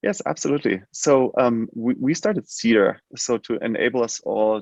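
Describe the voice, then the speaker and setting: Heard against a quiet background, a man with a German accent comes through in a dry, close sound with no echo. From Germany. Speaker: healthcare tech company CEO. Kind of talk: interview. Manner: halting, many fillers.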